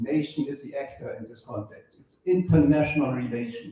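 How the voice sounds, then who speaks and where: With a continental European accent, a man speaks in a fairly high voice with ordinary pitch variation. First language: not English. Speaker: book author. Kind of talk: lecture.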